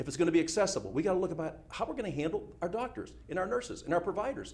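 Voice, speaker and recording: A man with an American accent talks at a very fast pace with vocal fry and very wide pitch swings. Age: 60s. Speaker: congressional candidate. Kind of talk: political debate. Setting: TV studio debate.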